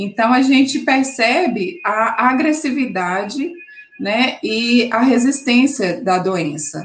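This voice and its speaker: Very slowly and with lively intonation, a woman speaks at a high pitch. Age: 30s. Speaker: oncology physiotherapist and cancer survivor. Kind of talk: interview, personal testimony.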